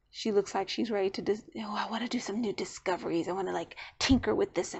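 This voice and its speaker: Ordinary pitch variation marks this woman's delivery. Her voice rests at a medium pitch. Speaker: tarot reader. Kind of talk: tutorial. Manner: fast; casual.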